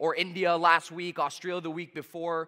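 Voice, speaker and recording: Recorded very cleanly against a silent background, a man speaks high in pitch with a Canadian accent. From Canada, Toronto. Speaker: sales trainer. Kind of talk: motivational talk. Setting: stage with audience. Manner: fast; high energy.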